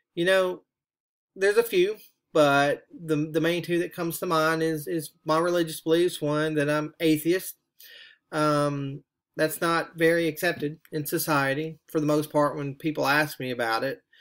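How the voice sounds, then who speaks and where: This man speaks with a Southern US accent. His pitch is fairly high and his intonation fairly even. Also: moderate pace. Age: middle-aged. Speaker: graduate student. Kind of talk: reflective monologue for a class assignment. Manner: halting, with frequent fillers.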